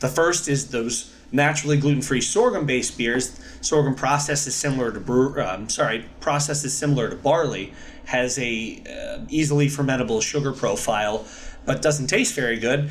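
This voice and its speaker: Room echo can be heard, along with clear background noise. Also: man, fairly high pitch for a man, ordinary pitch variation, moderate pace. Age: 30s. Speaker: gluten-free brewery owner. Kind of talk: casual interview.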